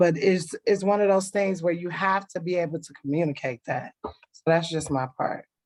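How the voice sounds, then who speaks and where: In a plain, everyday voice, a woman with an American accent speaks fairly low at a moderate pace, with ordinary pitch variation, hardly any pauses and big swings in loudness. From Cleveland, Ohio. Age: 30s. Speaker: kindergarten teacher. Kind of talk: casual group discussion. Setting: online livestream.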